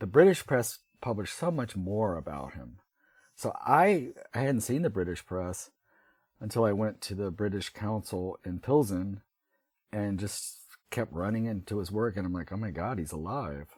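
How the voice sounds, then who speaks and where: A man with an American accent and a normal speaking voice talks at a moderate pace and fairly low pitch. His intonation is lively, and the recording is very clean with a silent background. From US South. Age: 60s. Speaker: writer. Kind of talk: interview.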